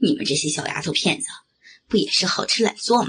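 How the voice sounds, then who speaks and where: A woman's medium-pitched voice with vocal fry, very wide pitch swings and an animated, theatrical tone. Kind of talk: scripted dramatic narration with character voices, ASMR-style story reading.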